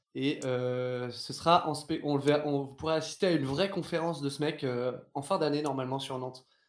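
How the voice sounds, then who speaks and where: A man talks at a moderate speed. His pitch is fairly high. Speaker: theatre performer. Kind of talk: casual chat. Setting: live stream.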